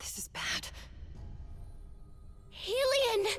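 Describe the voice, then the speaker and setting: An extremely high-pitched, put-on character voice comes through over clear background noise. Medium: video game.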